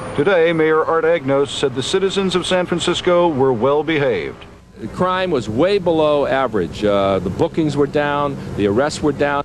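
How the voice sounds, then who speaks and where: Over noticeable background noise, a man with a fairly high pitch speaks at a moderate pace in a serious tone with lively intonation. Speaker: TV news reporter. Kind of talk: 1989 TV news report narration. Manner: steady, serious, reportorial.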